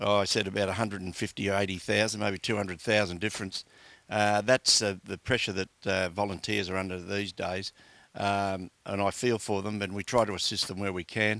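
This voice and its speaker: A man with an Australian accent speaks at a fairly quick pace in a fairly low pitch, his bright, sharp tone held to a monotone, flat intonation, on a very clean recording with a silent background and a dry, close sound with no echo. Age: 60s. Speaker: community sports administrator. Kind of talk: interview. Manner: hesitant, many fillers.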